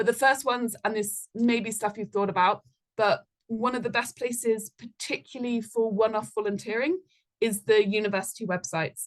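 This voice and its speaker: A fairly quick, medium-pitched woman's voice with ordinary pitch variation. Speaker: volunteering manager giving a talk. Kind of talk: presentation talk. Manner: fast.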